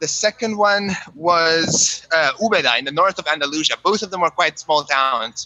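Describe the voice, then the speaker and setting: A man speaks with a Romanian accent at a moderate pace. His pitch is high. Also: ordinary pitch variation. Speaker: musician. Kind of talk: casual chat.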